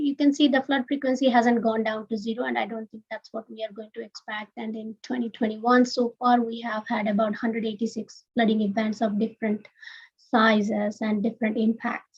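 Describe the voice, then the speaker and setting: Fairly high in pitch, a woman speaks in a normal speaking voice at a moderate pace. The sound is dry and close, with no echo. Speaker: research scientist presenting a project. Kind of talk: webinar presentation. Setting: live-streamed webinar.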